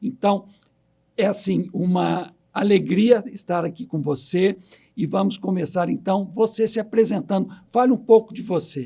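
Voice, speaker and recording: Speaking at a fairly slow pace, a man uses a high pitch and a dark, mellow tone, with ordinary pitch variation. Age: 60s. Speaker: podcast host. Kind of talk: interview.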